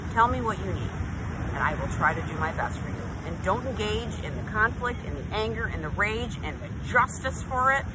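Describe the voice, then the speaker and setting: Over loud background noise, a woman talks at a fairly quick pace, and the sound is dry with no echo. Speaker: speaker. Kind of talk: motivational vlog talk. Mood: earnest, emphatic. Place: beach. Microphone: phone near.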